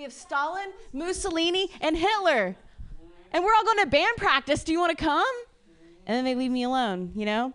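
A woman with an American accent, extremely high in pitch, swinging very widely, at a fairly quick pace. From Ohio. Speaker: comedian. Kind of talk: stand-up.

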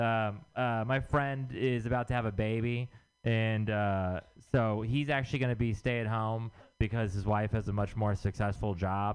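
With an American accent, a man uses an ordinary speaking voice at medium pitch, moderate pace and ordinary pitch variation. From Texas. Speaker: stand-up comedian. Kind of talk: stand-up.

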